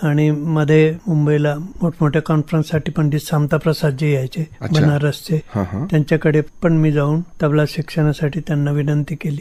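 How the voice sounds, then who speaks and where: The voice belongs to a man with a fairly high pitch and a dark, mellow tone. He sounds somewhat breathy, with fairly even intonation. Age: old. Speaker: tabla and santoor player. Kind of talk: radio interview answer.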